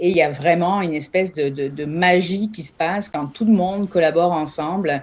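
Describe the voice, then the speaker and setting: A woman with a fairly low pitch speaks at a moderate pace, with hardly any pauses. Her pitch varies in an ordinary way while her loudness swings widely. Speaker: entrepreneur, business incubator founder. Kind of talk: interview at a job fair presentation. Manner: many hesitations and filler sounds.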